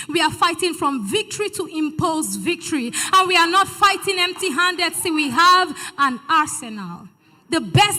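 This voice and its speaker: Lively intonation shapes a raised, projected voice with a bright, sharp tone. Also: woman. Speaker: spoken word poet. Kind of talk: spoken word poetry performance at a church event.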